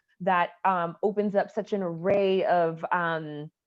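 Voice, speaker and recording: A woman talks in a plain, everyday voice with an American accent. Her pitch is fairly low and her intonation fairly even. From US South, Atlanta, Georgia. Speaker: storyteller. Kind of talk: interview testimony.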